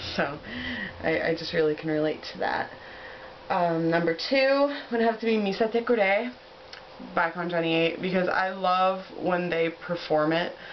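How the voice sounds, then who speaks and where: With an American accent, a woman of fairly low pitch speaks in an enthusiastic tone at a fairly slow pace, using ordinary pitch variation. Long, frequent pauses break her speech, and noticeable background noise is present. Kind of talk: casual talk to camera. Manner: enthusiastic, chatty.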